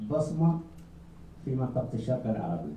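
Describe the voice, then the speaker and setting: A man speaks with audible room echo around him. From Iraq. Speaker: journalist. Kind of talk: press conference question.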